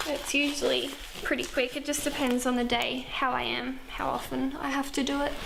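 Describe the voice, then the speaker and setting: Speaking with an Australian accent at a moderate pace, a woman is heard with audible room echo and noticeable background noise. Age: 20s. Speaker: nursing student. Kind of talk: documentary interview.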